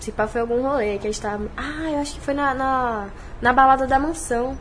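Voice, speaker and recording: A high-pitched woman's voice at a fairly quick pace, with ordinary pitch variation and audible room echo. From Bahia, Salvador. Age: 20s. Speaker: streamer and internet personality. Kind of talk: casual podcast interview.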